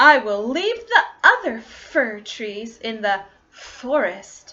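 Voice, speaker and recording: A woman uses a put-on character voice at a fairly high pitch, at a very slow pace. Her loudness swings widely while her pitch varies in an ordinary way. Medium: read story. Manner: bright, eager.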